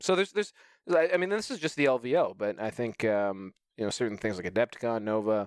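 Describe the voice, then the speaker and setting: A man with an unremarkable speaking voice talks at a fairly quick pace and medium pitch with lively intonation, on a very clean recording with a silent background and a dry, close sound with no echo. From Canada. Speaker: competitive tabletop wargamer. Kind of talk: casual chat.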